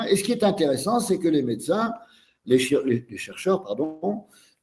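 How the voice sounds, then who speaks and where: Here a man with a high, dark, mellow voice talks at a moderate pace, his pitch swinging very widely. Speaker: osteopath and teacher. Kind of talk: lecture via interpreter. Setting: webinar video call. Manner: halting.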